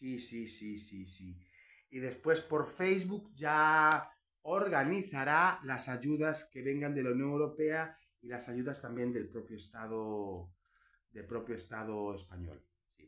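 Very slowly, a man speaks in a bright, sharp tone with lively intonation and big swings in loudness. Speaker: political commentary YouTuber, historian; political commentary YouTuber. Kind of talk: opinion monologue. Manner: animated; emphatic, sounds angry. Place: home room. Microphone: phone near.

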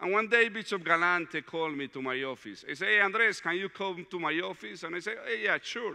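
Over a quiet background, a man with a Latin American accent talks at a fairly quick pace with hardly any pauses, his pitch high and his intonation lively. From Colombia, Medellin. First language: Spanish. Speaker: diocesan director of evangelization, retreat speaker; speaker. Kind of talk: retreat talk. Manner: halting, with frequent fillers. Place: hall.

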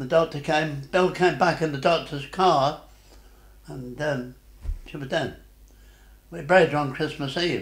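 A man with a fairly high pitch and a somewhat breathy voice speaks at a moderate pace with fairly even intonation. His loudness swings widely, he leaves long, frequent pauses, and the room echo is audible. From Derbyshire, England. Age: 80s+. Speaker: war veteran. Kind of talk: interview answer. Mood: sad, reflective memory. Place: home room.

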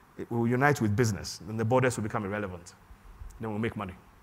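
This man talks at a very fast pace. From Ghana. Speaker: software entrepreneur; conference keynote speaker. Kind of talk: conference talk. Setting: stage with audience. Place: hall. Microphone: lapel.

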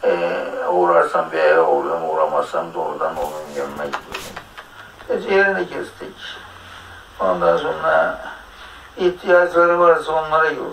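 A man speaks at a fairly slow pace with long, frequent pauses amid noticeable background noise. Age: 80s+. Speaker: teacher. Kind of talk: interview answer.

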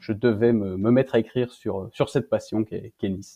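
Delivered in a flat monotone, the words come at a middling speed. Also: man. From Belgium. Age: 20s. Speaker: author. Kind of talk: interview.

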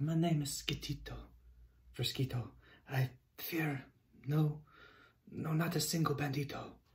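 In a soft-spoken, shaky put-on character voice at low-to-middle pitch, the speaker keeps a moderate pace with long, frequent pauses. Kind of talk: read-aloud storytelling. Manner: trembling, scared.

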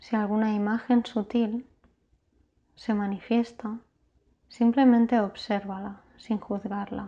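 Very slow and somewhat breathy, the voice has a dark, mellow, gentle and soothing tone, monotone and flat in intonation, with long, frequent pauses. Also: woman. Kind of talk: guided meditation (yoga nidra). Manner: slow, soothing, calm; soft-spoken, gentle, with long pauses.

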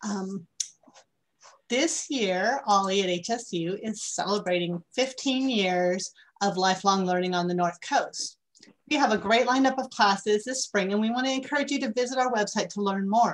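With ordinary pitch variation, the woman's delivery holds a moderate pace. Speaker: lifelong learning program coordinator. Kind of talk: announcements. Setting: video call.

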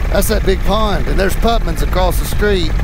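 There is noticeable background noise around a man whose voice sounds dry, with no echo. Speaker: paramotor pilot instructor. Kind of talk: casual narration to passenger. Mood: warm, reassuring.

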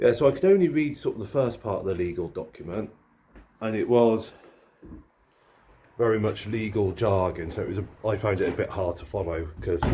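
Somewhat breathy and fairly low, a man's dark, mellow voice moves at a fairly quick pace over light background noise. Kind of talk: casual vlog chat. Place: home room. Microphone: phone near.

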